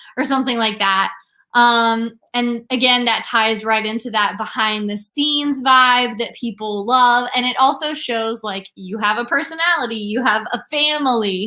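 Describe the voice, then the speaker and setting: A woman speaks at a fairly slow pace and a fairly high pitch, with ordinary pitch variation. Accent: slight Southern US. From US South, southeast. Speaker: brand strategist. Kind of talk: live-stream tutorial. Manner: casual, lots of fillers.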